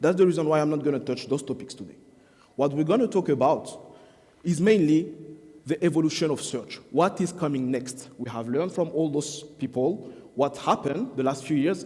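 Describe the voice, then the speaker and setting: A man's fairly high, dark, mellow voice at a fairly quick pace, with ordinary pitch variation. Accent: French. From France. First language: French. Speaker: SEO marketing expert. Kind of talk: conference talk. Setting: stage with audience.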